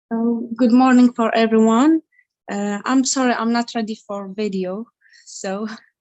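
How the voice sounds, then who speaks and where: With an Iraqi accent, a woman speaks at a fairly high pitch. Her intonation stays fairly even. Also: fairly slow pace. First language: Arabic. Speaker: dental hygienist and activist. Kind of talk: panel discussion. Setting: video call, camera off. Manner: halting, hesitant.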